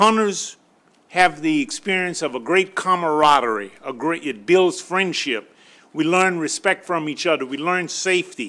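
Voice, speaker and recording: A man speaks with a high pitch and lively intonation. His tone is bright and sharp. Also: moderate pace. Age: 70s. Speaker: hunting mentor and outdoor writer. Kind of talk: legislative testimony.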